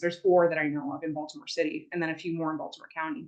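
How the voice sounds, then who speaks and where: A woman's voice, fairly low in pitch. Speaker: environmental advocate. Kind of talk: presentation. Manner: fast.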